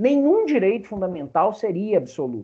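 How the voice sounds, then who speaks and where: A man with a Brazilian accent speaks at a high pitch in a dark, mellow tone. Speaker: law professor. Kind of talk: lecture.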